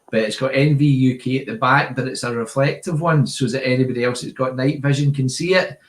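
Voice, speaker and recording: The speech comes at a very fast pace with hardly any pauses. Its intonation stays fairly even. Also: man, medium pitch for a man. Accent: strong Glasgow. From Scotland, Glasgow area. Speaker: airgun channel host. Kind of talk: live stream chat. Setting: video call live stream. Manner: casual, chatty.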